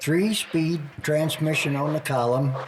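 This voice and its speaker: Very slow speech from a man with a fairly high pitch, ordinary pitch variation, and noticeable background noise behind it. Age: 70s. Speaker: retired Air Force veteran grandfather. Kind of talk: casual family interview. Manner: halting.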